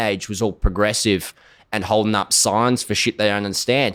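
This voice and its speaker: With an Australian accent, a man talks at a fairly quick pace in an animated tone and a fairly low pitch. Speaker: singer-songwriter and social media personality. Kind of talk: podcast interview.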